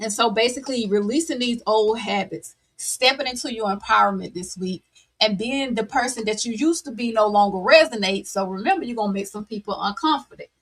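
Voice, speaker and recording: A woman talks at a very fast pace with a fairly high pitch. Her voice is somewhat breathy, with ordinary pitch variation. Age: 40s. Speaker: tarot reader. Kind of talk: tarot reading livestream. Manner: animated.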